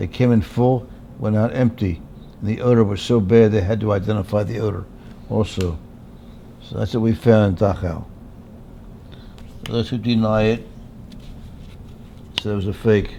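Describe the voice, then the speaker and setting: Fairly even intonation in an American accent at a moderate pace, with noticeable background noise. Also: man. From Pennsylvania. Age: 90s. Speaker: war veteran. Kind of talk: testimony.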